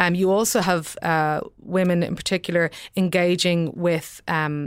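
Recorded very cleanly against a silent background, a woman speaks with an Irish accent at a fairly low pitch. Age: 30s. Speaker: newspaper columnist. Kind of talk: panel discussion. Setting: studio.

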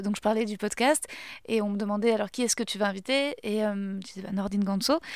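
Speaking in an ordinary speaking voice, a woman goes at a fairly quick pace with a fairly high pitch and fairly even intonation. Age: 30s. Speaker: podcast host and comedian. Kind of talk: casual chat.

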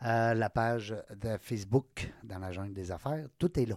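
This man talks in a Quebec accent, and the sound is dry and close with no echo. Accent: Québécois French. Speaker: podcast host. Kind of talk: casual chat. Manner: animated.

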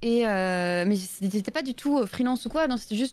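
At a moderate pace and with ordinary pitch variation, a woman talks in a plain, everyday voice. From Belgium. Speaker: streamer and illustrator. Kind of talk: casual live-stream interview. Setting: live stream voice call.

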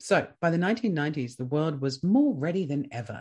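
A man with an Australian accent speaks at a fairly slow pace, with a fairly high pitch and lively intonation. His voice is somewhat breathy, and the background is quiet. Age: 30s. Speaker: podcast host. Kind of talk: scripted narration.

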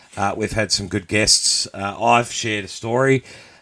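In a playful tone, the speaker uses ordinary pitch variation. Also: man. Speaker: podcast host. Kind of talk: live-streamed radio-style banter, with a mock news segment. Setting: live show with audience, streamed online. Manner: playful, bantering, ad-libbing.

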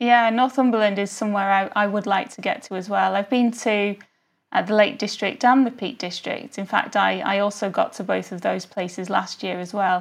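In a normal speaking voice, a woman talks at a moderate pace and medium pitch with ordinary pitch variation against a quiet background. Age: young. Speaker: lawyer and amateur travel photographer. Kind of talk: interview.

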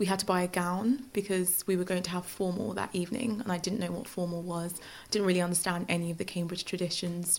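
With a London accent, a woman of medium pitch speaks at a very fast pace with fairly even intonation and hardly any pauses. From Nigeria, then northwest London from age 11. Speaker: law graduate. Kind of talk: interview.

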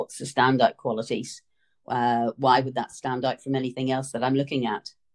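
This woman's voice sits very deep and low, recorded with a dry, close sound and no echo. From Northern Ireland. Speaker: retail buying consultant. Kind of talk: interview.

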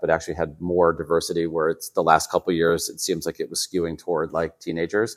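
In a very clean recording with a silent background, a man with an American accent speaks at a very deep, low pitch. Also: dry, close sound with no echo. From Chicago suburbs, US Midwest. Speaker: lifestyle journalist. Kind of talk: casual interview.

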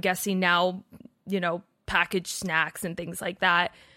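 In a very clean recording with a silent background, a woman speaks at a medium pitch with a bright, sharp tone. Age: 20s. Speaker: wellness content creator and podcaster. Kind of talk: casual interview.

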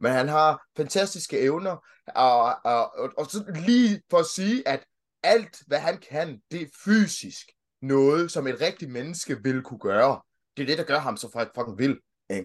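With a quiet background, a man with a fairly high pitch talks at a fairly slow pace, his voice making very wide pitch swings. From Denmark. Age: 30s. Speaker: childcare worker and podcaster. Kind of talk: casual interview chat. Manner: hesitant, repeats words.

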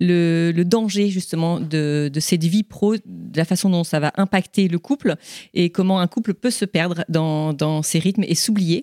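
On a very clean, dry and close recording with no echo and a silent background, a woman with a dark, mellow tone speaks at a fairly low pitch and a moderate pace with fairly even intonation. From southern France, Toulon. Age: 40s. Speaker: podcast host. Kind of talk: live interview. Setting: stage with audience.

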